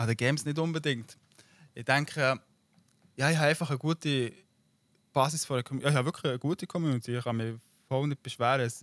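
Over a very clean recording with a silent background, the voice goes at a very fast pace with fairly even intonation and long, frequent pauses, the sound dry and close with no echo. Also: man, fairly high pitch for a man. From Switzerland. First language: Swiss German (speaking German). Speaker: YouTuber and streamer. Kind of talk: casual interview.

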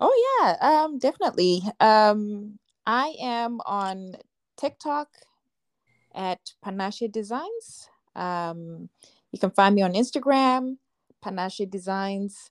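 This very clean recording has a silent background. A woman with a fairly high pitch and lively intonation speaks at a very slow pace, leaving long, frequent pauses. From Zimbabwe. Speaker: fashion designer. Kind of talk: casual interview chat. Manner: frequent laughter.

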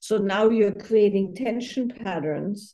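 In a quiet background, a woman speaks at medium pitch with fairly even intonation and a dark, mellow tone. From Austria, near Salzburg. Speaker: intimacy therapist and author. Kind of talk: interview conversation.

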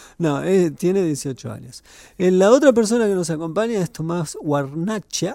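Speaking fairly slowly with lively intonation, a man with a high pitch and a dark, mellow tone is heard in a very clean recording with a silent background. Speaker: film critic and teacher. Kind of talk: casual chat.

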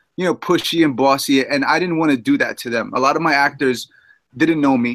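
A fairly high-pitched man with a New York accent at a fairly quick pace. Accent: New York City. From Queens, New York City. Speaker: film director. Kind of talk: casual chat.

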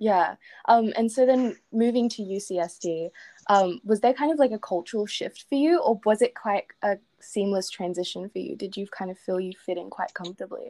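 Speaking at a moderate pace with an Australian accent, a woman has a fairly high voice with a dark, mellow tone, lively intonation and big swings in loudness, in a very clean, dry, close recording with a silent background and no echo. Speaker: podcast host. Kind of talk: casual interview.

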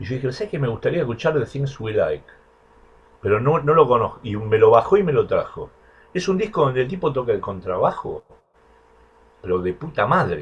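Long, frequent pauses break up a man's speech. Between them he moves at a fairly quick pace. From Argentina, Buenos Aires. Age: 60s. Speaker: bass player. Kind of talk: interview.

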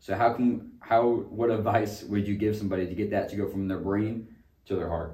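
Amid audible room echo, a man with a dark, mellow tone and a fairly low pitch speaks somewhat breathily at a fairly quick pace with fairly even intonation. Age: 20s. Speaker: podcast co-host. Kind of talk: casual chat.

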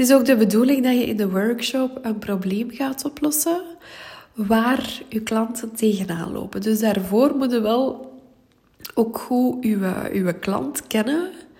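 A woman's fairly high voice, fairly slow in pace, with ordinary pitch variation. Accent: Flemish. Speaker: business coach. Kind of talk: solo podcast tips talk. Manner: voice occasionally cracking.

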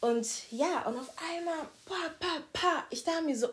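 A woman talks very slowly, her pitch swinging very widely, in a bright, sharp tone. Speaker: podcast guest. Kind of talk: casual chat. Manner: loud; formal.

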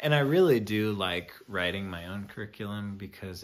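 Pitched fairly low, a man talks at a moderate speed. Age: 20s. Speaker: podcast host and teacher. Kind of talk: solo casual monologue. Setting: at home, alone on a couch. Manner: rambling, hesitant with fillers.

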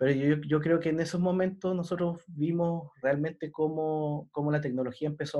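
A man's voice has a dark, mellow tone and a fairly quick pace. The background is quiet. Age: 30s. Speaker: BIM consultant, podcast co-host. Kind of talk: casual chat.

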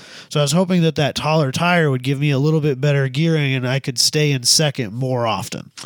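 A man's fairly high voice at a very fast pace, fairly even in intonation, in a very clean recording with a silent background. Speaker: podcast co-host. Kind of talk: casual chat.

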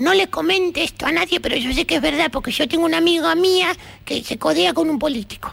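Speaking with an Argentine accent, a woman talks at a fairly quick pace with a high pitch. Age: 70s. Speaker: retired woman chatting with a friend. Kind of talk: casual phone chat.

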